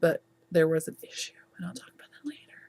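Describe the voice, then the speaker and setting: With very wide pitch swings and an animated tone, a woman speaks at a moderate pace. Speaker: knitting podcast host. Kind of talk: casual chat.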